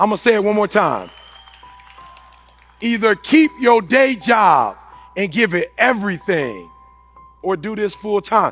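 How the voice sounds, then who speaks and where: A man talks at a fairly slow pace with long, frequent pauses and music in the background. His pitch is high, with ordinary variation. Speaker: motivational speaker. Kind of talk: motivational speech. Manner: high-energy.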